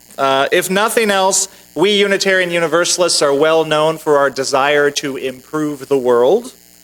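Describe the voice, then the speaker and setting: A man with an ordinary speaking voice talks at a moderate pace. His voice is fairly high, with ordinary pitch variation. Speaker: minister giving a sermon. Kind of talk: sermon delivered to a congregation. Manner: conversational, humorous, wry.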